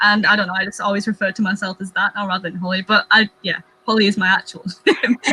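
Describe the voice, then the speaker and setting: A woman speaks with an English accent. There is noticeable background noise. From England. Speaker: booktuber. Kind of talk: casual chat.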